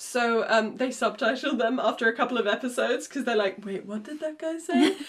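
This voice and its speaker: Over noticeable background noise, a woman with a German accent speaks high-pitched at a fairly quick pace with ordinary pitch variation. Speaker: podcast co-host and independent recording artist. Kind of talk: casual chat.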